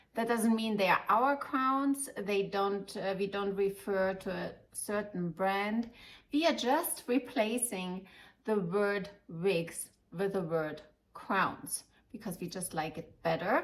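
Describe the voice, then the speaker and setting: A woman with a German accent, medium pitch, lively intonation and a very slow pace. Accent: German accent, lasting. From Germany, Munich. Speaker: wig shop owner and advisor. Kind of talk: informative video talk to customers. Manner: halting, many fillers.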